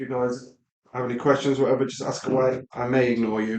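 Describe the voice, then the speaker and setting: With a Midlands accent, a man talks at a moderate pace and medium pitch. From English Midlands. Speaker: LEGO live stream builder. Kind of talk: live stream building commentary. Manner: casual, hesitant with many ums.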